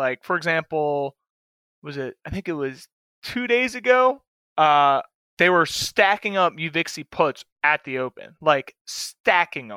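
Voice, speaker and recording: The voice has a bright, sharp tone, lively intonation and big swings in loudness at a fairly slow pace. The recording is very clean, with a silent background and a dry, close sound with no echo. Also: man, fairly high pitch for a man. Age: 20s. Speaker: fill-in co-host and options trader. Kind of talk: casual chat.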